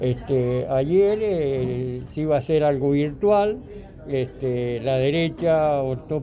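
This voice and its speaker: The man's pitch is fairly high with ordinary variation. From Argentina. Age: 60s. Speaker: interviewee sharing views. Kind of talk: interview testimony. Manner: halting.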